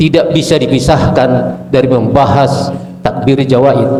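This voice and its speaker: Noticeable background noise and audible room echo accompany a man's voice. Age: 70s. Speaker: conference delegate. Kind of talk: question from the floor. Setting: meeting hall.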